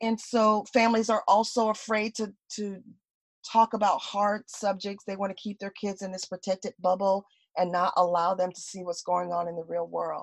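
With an American accent and a normal speaking voice, a woman at a medium pitch talks at a moderate pace with fairly even intonation and big swings in loudness, in a dry, close sound with no echo against a quiet background. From US South, South Florida. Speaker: parenting consultant and educator. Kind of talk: interview.

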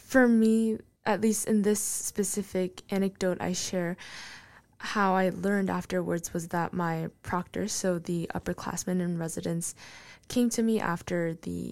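Recorded very cleanly with a silent background, a woman with a Korean accent speaks at a fairly slow pace with fairly low pitch and fairly even intonation. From South Korea. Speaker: student opinion writer. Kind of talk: interview.

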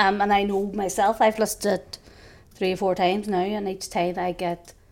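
In a Northern Irish accent, the speaker talks at a moderate pace. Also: woman. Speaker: podcast co-host. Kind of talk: casual chat.

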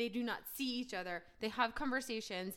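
With an American accent, the speaker has a bright, sharp tone and lively intonation. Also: woman. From New Jersey. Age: 30s. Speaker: podcast co-host, sports PR professional. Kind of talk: casual chat.

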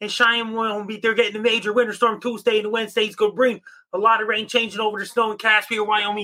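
Raised and projected, a man's high-pitched voice has a bright, sharp tone and monotone, flat intonation. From Cape Breton, Nova Scotia, Canada. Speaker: amateur weatherman. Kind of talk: weather report. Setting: video call.

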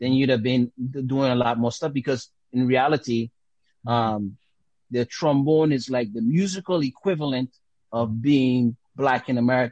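In a Caribbean accent, a man speaks at a moderate pace and medium pitch with ordinary pitch variation and very even loudness, in a dry, close sound with no echo. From Dominica and US Virgin Islands. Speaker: jazz trombonist and teacher. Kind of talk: interview. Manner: halting, many fillers.

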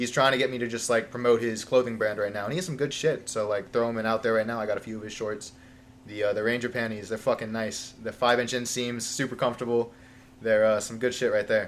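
Over music in the background, a man with an American accent talks at a very fast pace in a monotone, flat intonation. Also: medium pitch for a man. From Long Island, New York. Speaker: firefighter trainee. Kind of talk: casual chat.

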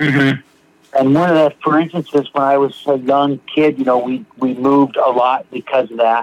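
This man has a normal speaking voice, fairly high in pitch, with an American accent, fairly even intonation and a moderate pace, and the sound is dry and close with no echo and very even loudness. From US Pacific Northwest, Seattle. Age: 50s. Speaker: recovering alcoholic sharing his story. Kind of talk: testimony.

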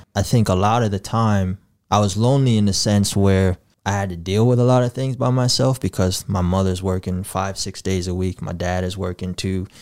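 On a very clean recording with a silent background, a man speaks at a fairly low pitch and a fairly quick pace with fairly even intonation. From Sioux Falls, South Dakota (born in Gambia). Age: 20s. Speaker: community organizer and poetry project leader. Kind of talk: casual interview.

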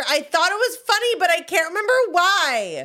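A woman's raised, projected voice with lively intonation and an American accent. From US South. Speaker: podcast co-host. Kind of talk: casual chat.

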